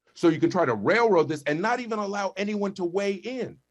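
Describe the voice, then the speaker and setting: A man speaks loud, in an animated tone. His pace is moderate. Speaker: school board director. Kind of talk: heated debate. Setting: video call.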